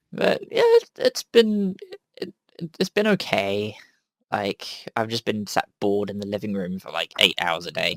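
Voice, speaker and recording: A man with a southern English accent talks at a fairly slow pace, his loudness swinging widely, in a dry, close recording with no echo. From southern England. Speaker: podcast host. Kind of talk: casual chat.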